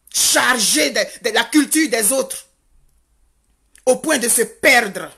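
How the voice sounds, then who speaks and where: The tone is bright and sharp, the intonation lively, and the pace very slow. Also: woman, high pitch for a woman. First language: Godié (speaking French). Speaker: activist vlogger. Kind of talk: impassioned monologue. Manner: animated; halting with repetitions.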